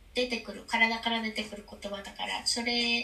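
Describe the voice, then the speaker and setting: The woman's voice is fairly high and her pace moderate. Background noise is clearly audible. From Japan, Kumamoto. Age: 30s. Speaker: expat mother. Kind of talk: interview conversation. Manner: halting with many fillers.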